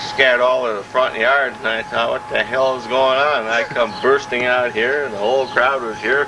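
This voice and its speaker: A man at medium pitch, fairly quick and with hardly any pauses, fairly even intonation, and noticeable background noise. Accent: American. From Minnesota, US Upper Midwest (Columbia Heights). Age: 60s. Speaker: retiree interviewed about his life. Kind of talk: casual oral-history interview. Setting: outdoors in backyard garden.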